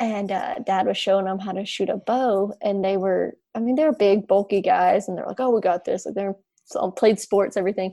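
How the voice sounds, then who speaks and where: A woman speaks at a moderate pace in a Southern US accent, her pitch medium. Her tone is dark and mellow, with fairly even intonation. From Alabama. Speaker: agricultural communicator. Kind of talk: casual chat.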